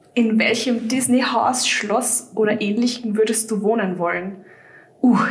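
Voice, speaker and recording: A woman's fairly high voice in monotone, flat intonation at a fairly slow pace, with audible room echo and noticeable background noise. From Austria, Vienna. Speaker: fan website writer. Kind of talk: casual chat.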